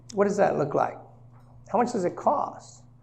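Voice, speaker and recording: Audible room echo hangs around the speaker. He is a man whose tone is dark and mellow. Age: 60s. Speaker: senior living and real estate seminar presenter. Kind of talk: seminar presentation. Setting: live seminar with audience.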